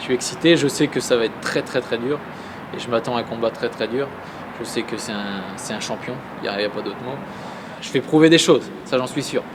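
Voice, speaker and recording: Speaking at a fairly quick pace with long, frequent pauses, a man with a medium pitch and ordinary pitch variation is heard over noticeable background noise. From Normandy, France (Saint-Lô, Manche). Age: 20s. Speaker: professional boxer. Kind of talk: interview.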